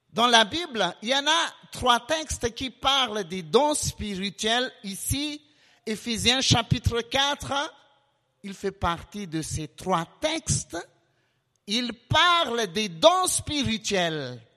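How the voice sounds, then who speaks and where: A man talks at an extremely high pitch in a raised, projected voice, his tone bright and sharp. His pitch swings very widely, and he goes at a very slow pace. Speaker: preacher. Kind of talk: sermon. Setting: church.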